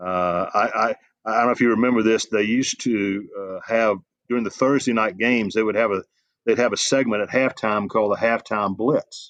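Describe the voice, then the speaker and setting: A man with a Southern US accent speaks at a fairly quick pace with fairly even intonation. The sound is dry and close with no echo, over a quiet background. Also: medium pitch for a man. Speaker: sports journalist and college football analyst. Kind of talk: interview. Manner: halting.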